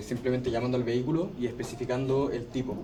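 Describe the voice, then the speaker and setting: With a Chilean accent, a man speaks at a fairly quick pace and medium pitch. There is audible room echo and noticeable background noise. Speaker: teaching assistant. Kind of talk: tutorial class.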